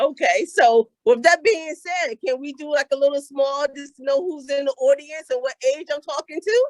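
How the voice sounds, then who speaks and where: Her high-pitched voice moves with lively intonation and big swings in loudness at a moderate pace. The woman's recording is dry and close, with no echo. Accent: American. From Philadelphia. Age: 50s. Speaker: motivational speaker. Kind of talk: motivational talk.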